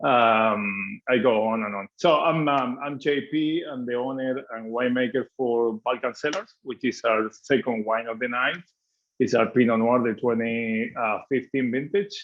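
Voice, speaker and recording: Speaking at a fairly slow pace, a man with an Argentine accent uses a medium pitch with ordinary variation. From Argentina (Mendoza). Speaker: winemaker. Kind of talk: guided wine tasting presentation. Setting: video call.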